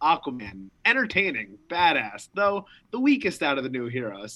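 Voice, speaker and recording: With very wide pitch swings, a man speaks in a bright, sharp tone. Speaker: podcast co-host. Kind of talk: casual chat.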